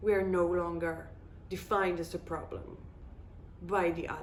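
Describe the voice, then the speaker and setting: Audible room echo surrounds a woman speaking with an Israeli accent. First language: Hebrew. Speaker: video blogger. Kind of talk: casual monologue.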